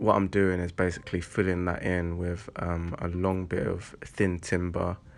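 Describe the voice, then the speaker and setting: Over music in the background, a man with a very deep, low voice speaks in a flat monotone at a fairly slow pace. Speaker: vlogger building an allotment shed. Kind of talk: casual vlog tutorial. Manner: halting, many fillers.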